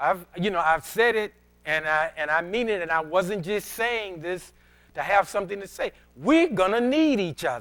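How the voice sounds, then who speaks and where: A man speaks with a high pitch and lively intonation. His pace is moderate. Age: 60s. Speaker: pastor. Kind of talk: sermon. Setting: church. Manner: halting, with many repetitions.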